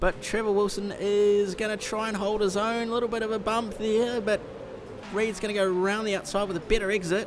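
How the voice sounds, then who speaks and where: Noticeable background noise behind a man with a high pitch, flat monotone intonation and a fairly quick pace. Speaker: sim racing commentator. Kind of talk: live commentary. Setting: simulator store, live stream.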